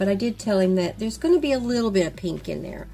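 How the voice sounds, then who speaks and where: A woman talks very fast with an Oklahoma accent. Noticeable background noise is present. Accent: Oklahoma accent, says yellow as yaller. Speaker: beauty vlogger. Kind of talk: casual chat while doing makeup. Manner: chatty, rambling with fillers.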